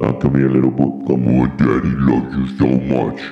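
Using a put-on character voice, a man speaks in a flat monotone at a very deep, low pitch and a moderate pace. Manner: sweet, affectionate, coaxing.

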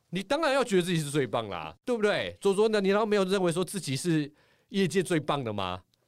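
In a very clean recording with a silent background, a man with a high pitch and a Taiwanese accent talks at a very fast pace. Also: lively intonation. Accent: Taiwanese Mandarin. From Taiwan, Taipei. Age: middle-aged. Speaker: former sports anchor and author. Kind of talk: casual chat. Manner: animated.

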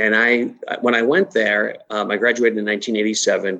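A man with a slight Massachusetts accent and a fairly low-pitched voice. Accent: Massachusetts New England, slight. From Massachusetts, US. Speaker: chamber of commerce executive. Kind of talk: interview chat.

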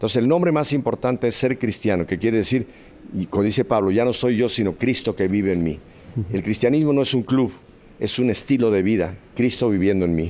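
A man speaks at a fairly quick pace and medium pitch, his tone dark and mellow. His loudness stays very even. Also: ordinary pitch variation. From Mexico City. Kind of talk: testimony.

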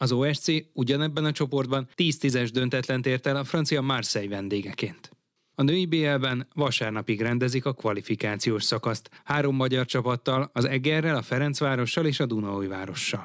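A man with an ordinary speaking voice: medium pitch, ordinary pitch variation, moderate pace. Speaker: radio sports editor. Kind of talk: news reading.

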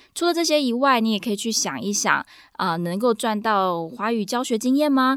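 A woman with a plain, everyday voice, fairly high in pitch, with lively intonation at a fairly quick pace. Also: very clean recording, silent background. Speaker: podcast host and Mandarin teacher. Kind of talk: solo podcast monologue.

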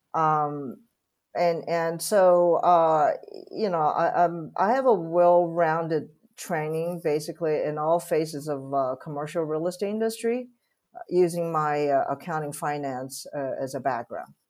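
Speaking at a fairly slow pace with ordinary pitch variation, a woman with a Chinese accent has a fairly low pitch, in a very clean recording with a silent background. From Taiwan. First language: Mandarin Chinese. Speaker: real estate executive. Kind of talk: interview. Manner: halting, many fillers.

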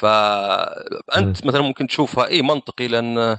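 A man talks with fairly even intonation. His voice sits at a medium pitch. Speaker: gaming podcast guest. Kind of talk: casual chat. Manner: talkative.

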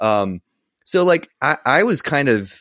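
Lively intonation runs through a man's plain, everyday voice. The recording is very clean with a silent background. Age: 40s. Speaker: guitarist and youtuber. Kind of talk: casual chat.

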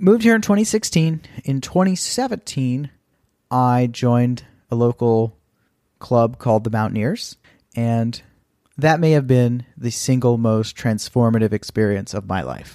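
A man with an American accent speaks at a moderate pace in a dark, mellow tone, with ordinary pitch variation, on a very clean recording with a silent background. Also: medium pitch for a man. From Texas. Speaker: podcast host. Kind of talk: solo podcast monologue.

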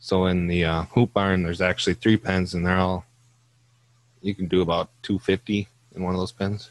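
A man's very deep, low voice in a Minnesota accent, monotone and flat, dry and close with no echo. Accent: Upper Midwest (Minnesota). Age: 20s. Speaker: farmer. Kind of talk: casual chat.

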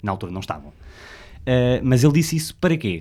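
This man speaks with a European Portuguese accent. His pitch is medium and his pace moderate. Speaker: podcast co-host. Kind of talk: casual chat.

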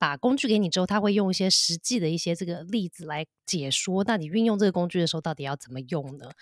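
A woman's fairly low voice at a very fast pace, with lively intonation, big swings in loudness and hardly any pauses, on a very clean, dry, close recording with a silent background and no echo. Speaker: podcast host. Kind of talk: casual chat about a parenting book.

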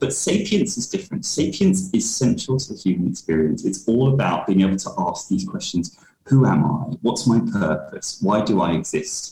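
Over noticeable background noise, a man of medium pitch talks at a moderate pace with very wide pitch swings and hardly any pauses. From London, England. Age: 30s. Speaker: diversity and inclusion consultant. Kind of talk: interview.

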